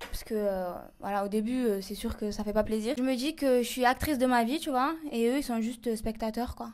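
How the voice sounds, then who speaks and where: Fairly quick speech from a woman, fairly high in pitch, with ordinary pitch variation. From southern France. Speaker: reality TV personality. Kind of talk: humorous interview. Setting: in a bathtub. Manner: casual.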